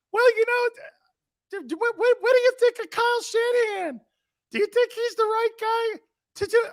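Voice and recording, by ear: A put-on character voice at an extremely high pitch, moderate in pace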